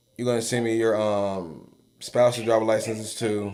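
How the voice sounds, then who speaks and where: A man speaks at a very slow pace with medium pitch. Audible room echo surrounds his voice. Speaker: insurance agent. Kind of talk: live Q&A call with business owner. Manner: casual, many fillers.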